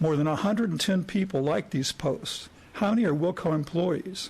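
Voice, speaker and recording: Using an ordinary speaking voice, a man talks at a fairly quick pace with lively intonation. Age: 60s. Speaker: retired psychologist, citizen commenter. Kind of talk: public comment speech. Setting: county commissioners court meeting.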